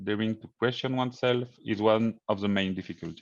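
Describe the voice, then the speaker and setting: A man's medium-pitched voice with a French accent, ordinary pitch variation and a moderate pace, over a quiet background. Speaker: engineering consultant. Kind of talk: conference presentation. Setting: virtual conference. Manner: hesitant.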